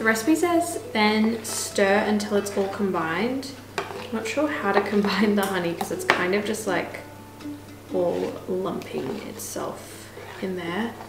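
Clear background music plays throughout. Over it, a woman talks at a fairly slow pace. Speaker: home cook vlogger. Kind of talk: casual cooking tutorial chat. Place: kitchen. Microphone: camera far.

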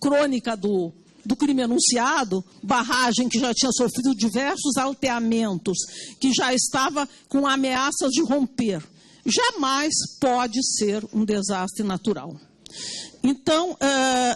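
Very slow speech with ordinary pitch variation over a quiet background. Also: woman. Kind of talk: formal hearing statement. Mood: firm, argumentative. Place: hall. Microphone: handheld.

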